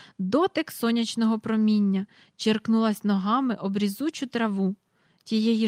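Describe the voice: Plain reading aloud with fairly even intonation against a quiet background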